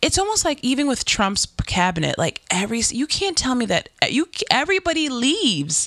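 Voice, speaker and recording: Against noticeable background noise, a high-pitched woman with an American accent talks with very wide pitch swings, very even loudness, and hardly any pauses. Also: moderate pace. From New York. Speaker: podcast host. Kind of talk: casual chat.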